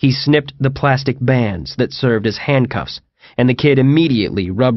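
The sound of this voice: An unforced reading voice carries the text. The background is quiet.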